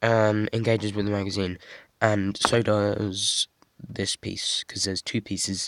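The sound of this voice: In a dry, close sound with no echo, a man speaks at a fairly low pitch with a fairly bright tone.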